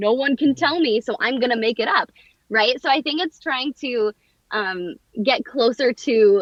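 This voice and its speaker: The delivery is animated, with lively intonation at a fairly slow pace. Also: woman. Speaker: voice actor. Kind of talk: casual interview chat.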